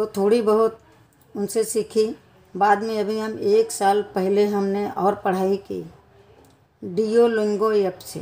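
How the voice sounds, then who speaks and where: A woman speaks at a medium pitch with a dark, mellow tone and a monotone, flat delivery. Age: 60s. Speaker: vlogger, grandmother. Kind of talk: personal vlog monologue. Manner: halting.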